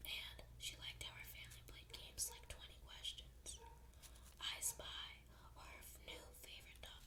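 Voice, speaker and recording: Someone whispers, soft-spoken, at a moderate pace. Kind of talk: ASMR bedtime story reading. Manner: whispered, soft.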